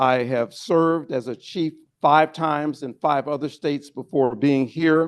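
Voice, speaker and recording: Here is a man with a normal speaking voice, pitched fairly high. His intonation stays fairly even at a fairly slow pace. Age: 60s. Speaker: interim police chief. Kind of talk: briefing to legislators. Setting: state house lounge, lunch meeting.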